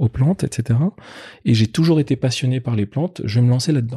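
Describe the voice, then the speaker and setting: On a very clean recording with a silent background, a man's medium-pitched, somewhat breathy voice has a dark, mellow tone and ordinary pitch variation, the sound dry and close with no echo. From Paris suburbs, France (Colombes, housing estate). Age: 30s. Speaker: entrepreneur, company founder. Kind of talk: interview conversation. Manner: halting, many repetitions.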